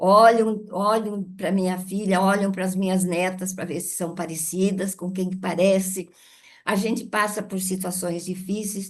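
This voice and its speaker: At a fairly slow pace, a woman with a medium pitch speaks in a monotone, flat way. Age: 80s+. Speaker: author and adoptive mother. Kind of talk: webinar talk.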